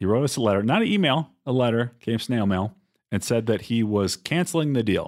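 In a very clean recording with a silent background, a man with a normal speaking voice talks at a moderate pace and medium pitch, his loudness very even and his intonation lively. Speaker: investor and podcast co-host. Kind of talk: casual conversational explanation.

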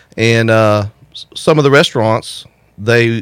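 A man with an American accent speaks in a plain, everyday voice at a medium pitch with ordinary pitch variation. The sound is dry and close, with no echo. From St. Augustine, Florida. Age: 40s. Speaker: wastewater plant operator and community organizer. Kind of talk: casual interview. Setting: radio studio.

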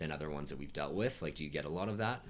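A man speaks with vocal fry. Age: 20s. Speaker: podcast host. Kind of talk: casual interview.

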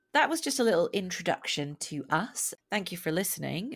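Pitch swings very wide as a woman with a slight Scottish accent speaks at a medium pitch and a moderate pace. The recording is very clean, with a silent background. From Scotland. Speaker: podcast host. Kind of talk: casual chat.

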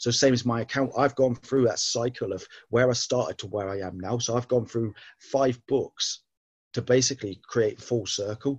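Somewhat breathy, a man speaks at a moderate pace in a medium pitch. His intonation is fairly even, and the background is quiet. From southern England. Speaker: author and ex-Navy man. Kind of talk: casual interview chat.

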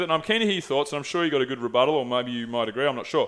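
Here a man speaks with an Australian accent. His pace is very fast and his intonation lively. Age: 30s. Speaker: podcast host. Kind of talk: sales pitch; casual chat. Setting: studio.

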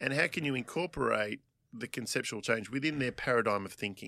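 A man with a medium pitch talks at a fairly quick pace, his tone bright and sharp with some vocal fry. His pitch varies in an ordinary way, and the recording is very clean with a silent background. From Australia. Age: 40s. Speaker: physical therapist. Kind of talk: casual interview chat.

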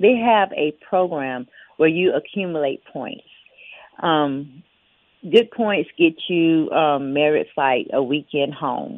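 The speaker has a Southern US accent. The pace is very slow. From Mississippi Gulf Coast, Biloxi. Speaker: former restitution center inmate. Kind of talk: interview testimony. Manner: halting, many fillers.

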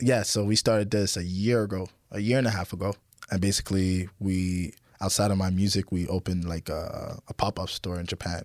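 A fairly quick man's voice with a Canadian accent, fairly low pitch and monotone, flat intonation, in a dry, close sound with no echo on a very clean recording with a silent background. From Ottawa, Canada; Haitian parents. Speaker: rapper. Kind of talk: casual interview chat.

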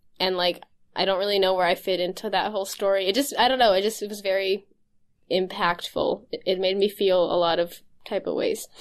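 An ordinary speaking voice moves at a fairly quick pace with fairly even intonation against a quiet background. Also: woman, medium pitch for a woman. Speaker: podcast host. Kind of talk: casual chat. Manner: laughs often, informal.

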